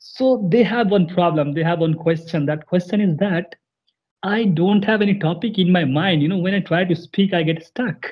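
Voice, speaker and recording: Man at a moderate pace, high-pitched with ordinary pitch variation, against a quiet background. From India. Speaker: YouTube English-learning channel host. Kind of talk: casual interview. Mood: friendly, cheerful. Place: home room. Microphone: video call.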